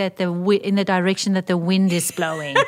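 Fairly quick pace over noticeable background noise. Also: woman. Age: 50s. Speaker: podcast co-host. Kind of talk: prayer; casual chat.

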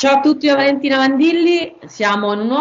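A woman talks with very wide pitch swings. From Rome, Italy. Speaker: podcast host, marketing consultant. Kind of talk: interview.

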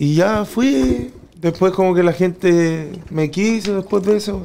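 A man's dark, mellow voice with a Chilean accent. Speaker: freestyle rapper. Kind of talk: casual chat.

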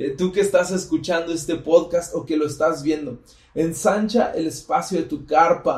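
A man speaks with a central Mexican accent, his voice pitched high. His tone is animated. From Mexico, Estado de México. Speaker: podcast host, church member. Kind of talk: casual chat with faith teaching.

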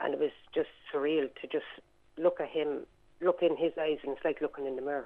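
With an Irish accent and a very deep, low pitch, a woman speaks at a fairly quick pace in a flat monotone, with long, frequent pauses. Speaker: caller. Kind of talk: radio call-in. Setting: phone call.

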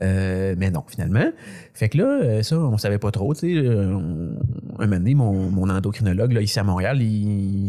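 With a Quebec accent, a man speaks in a fairly low voice with lively intonation. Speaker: comedian. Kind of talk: casual chat.

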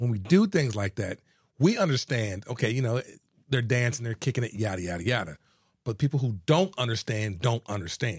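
Lively and fairly quick, a man speaks at medium pitch with an American accent and a somewhat breathy voice. The recording is very clean, with a silent background. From Houston, Texas. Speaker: attorney and local politician. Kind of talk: casual interview.

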